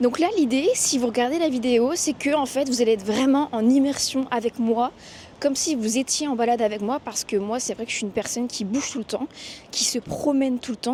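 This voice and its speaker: This woman's voice sits fairly high. Its pitch varies in an ordinary way. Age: 20s. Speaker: podcaster and vlogger. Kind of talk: casual walking vlog monologue. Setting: outdoors walking in city streets. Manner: casual with many hesitations.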